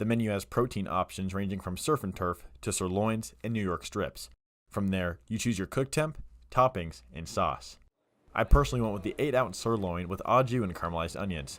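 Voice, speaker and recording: A man speaks in a normal speaking voice, fairly low in pitch, with lively intonation. His pace is fairly quick, and the recording is very clean with a silent background. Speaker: student reporter. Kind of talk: news feature package. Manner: casual, upbeat.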